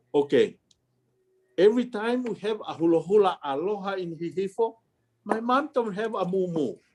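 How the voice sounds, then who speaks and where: A man with a high pitch and ordinary pitch variation, at a moderate pace with long, frequent pauses. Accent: Tongan. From Tonga. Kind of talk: family history storytelling. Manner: casual, conversational.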